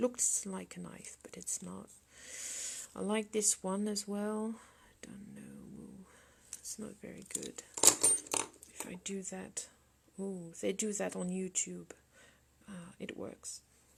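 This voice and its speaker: A woman's speech at a very slow pace, with long, frequent pauses, big swings in loudness and noticeable background noise. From France. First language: French. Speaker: sculptor. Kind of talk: live sculpting demonstration with Q&A. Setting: studio livestream. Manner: halting. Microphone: laptop.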